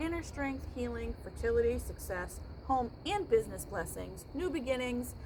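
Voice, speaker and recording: With audible room echo and noticeable background noise, a woman talks at a fairly slow pace. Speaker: tarot reader. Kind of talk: casual chat.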